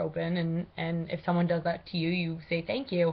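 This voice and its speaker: A woman's somewhat breathy voice sits fairly low in pitch, with monotone, flat intonation. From Maine, Aroostook County. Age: 20s. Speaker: college student. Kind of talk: class speech. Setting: webcam recording. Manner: casual with many fillers.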